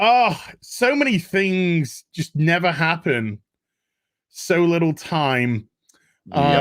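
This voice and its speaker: A man's high voice at a very slow pace, with very wide pitch swings and long, frequent pauses. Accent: Yorkshire. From Yorkshire. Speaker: podcast host.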